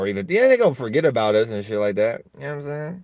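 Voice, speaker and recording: A loud, animated man talking at a fairly quick pace. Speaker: vlogger. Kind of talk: casual monologue.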